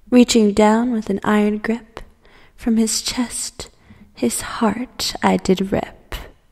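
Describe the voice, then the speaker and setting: Over noticeable background noise, the speaker delivers lines at a very slow pace in a dramatic, menacing tone. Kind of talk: dark poem reading, theatrical first-person horror verse. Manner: dramatic, measured, menacing storytelling with whispered moments.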